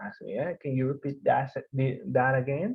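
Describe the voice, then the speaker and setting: A man talks at a fairly slow pace. His pitch sits in the medium range. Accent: strong Mexican. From Mexico. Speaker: developer course instructor. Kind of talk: online course lecture. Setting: video call. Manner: hesitant, many fillers; deliberately slow.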